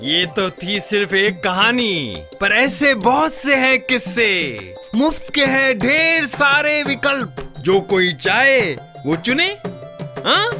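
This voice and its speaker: Over music in the background, a man with a high voice projects in a raised tone, swinging very widely in pitch while his loudness stays very even. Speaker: voice actor. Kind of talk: ad film narration.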